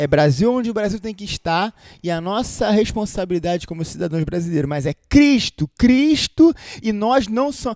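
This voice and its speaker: Loud and animated, a man speaks at a high pitch with very wide pitch swings and a moderate pace, in a dry, close sound with no echo. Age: 30s. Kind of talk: casual chat with preachy commentary.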